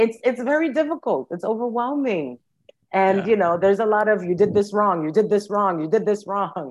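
Speaking at a fairly quick pace with lively intonation, a woman uses a medium pitch and has a New York accent. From New York City. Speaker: social worker. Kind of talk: interview.

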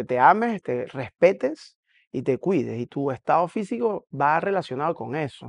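Against a quiet background, a man with a fairly high voice makes very wide pitch swings, the sound dry and close with no echo. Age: 40s. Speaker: CrossFit coach. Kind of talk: casual monologue reacting to a video.

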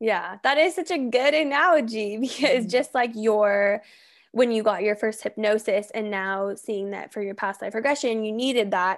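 In an ordinary speaking voice, a woman talks at a moderate pace with a fairly high pitch and ordinary pitch variation, on a very clean recording with a silent background. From Colorado. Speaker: podcast host and personal trainer. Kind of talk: casual interview chat.

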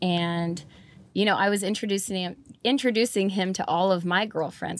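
In a very clean recording with a silent background, a woman speaks with an American accent and a normal speaking voice. Her medium pitch shows ordinary variation at a moderate pace. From northern California. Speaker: country musician and tattoo artist. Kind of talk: casual chat. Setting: in a van.

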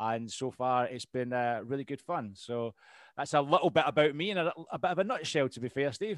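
A man with a Scottish accent at a fairly quick pace, dry and close with no echo, over a quiet background. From Scotland. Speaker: podcast host and veteran. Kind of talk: casual interview chat.

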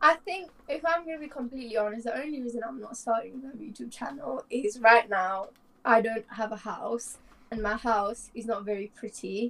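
With a plain, everyday voice, a woman speaks at a moderate pace in a fairly high pitch, showing ordinary pitch variation and big swings in loudness. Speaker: co-host, tutor. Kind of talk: casual chat. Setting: self-isolating at home.

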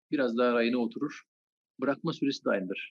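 A man is speaking here. The sound is dry and close, with no echo. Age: 40s. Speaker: anatomy lecturer. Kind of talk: interview.

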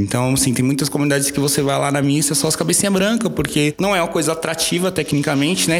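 A man speaks with a fairly high pitch and ordinary pitch variation. Noticeable background noise runs under his voice. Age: 30s. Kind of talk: podcast interview.

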